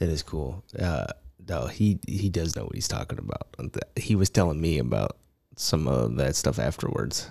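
Very deep, low pitch from a man at a moderate pace, with lively intonation, a dark, mellow tone and vocal fry. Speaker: podcast co-host, artist. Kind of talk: casual chat.

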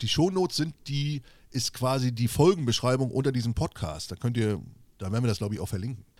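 A man speaks at a very fast pace, his pitch medium. His intonation is lively. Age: 40s. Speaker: podcast co-host, social media creator. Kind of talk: casual chat. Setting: video call.

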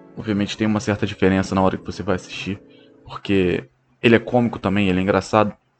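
Over music in the background, the speech comes at a very fast pace with monotone, flat intonation. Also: man, fairly low pitch for a man. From Brazil, Rio de Janeiro (Bangu). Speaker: sports podcaster. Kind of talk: solo casual monologue.

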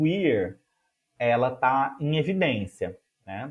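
The voice is somewhat breathy, with very wide pitch swings. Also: man. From Minas Gerais, Brazil. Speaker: music educator and researcher. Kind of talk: interview conversation.

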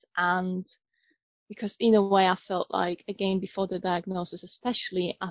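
A woman with a medium pitch talks at a moderate pace. Her voice is somewhat breathy. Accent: Polish. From Poland. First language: Polish. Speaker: neurodiversity trainer and coach. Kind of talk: interview. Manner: hesitant, many fillers.

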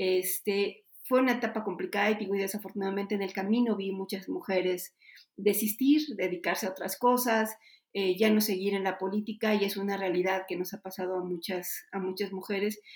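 In an unremarkable speaking voice, a woman of medium pitch talks at a moderate pace with fairly even intonation. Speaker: politician. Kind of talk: interview.

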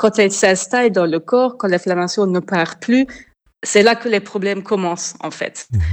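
A woman speaks with an unremarkable speaking voice and ordinary pitch variation. Her pace is fairly slow, and the background is quiet. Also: medium pitch for a woman. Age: 30s. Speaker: food blogger. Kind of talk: interview.

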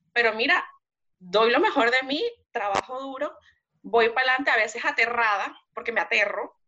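This woman's voice is high, with a bright, sharp tone. She talks at a moderate pace with ordinary pitch variation. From Venezuela. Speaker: migrant guest. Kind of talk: testimony.

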